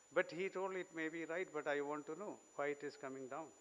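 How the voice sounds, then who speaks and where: At a moderate pace, a man speaks with a Keralan accent and fairly even intonation. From Kerala, India. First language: Malayalam. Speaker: invited speaker. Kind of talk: speech.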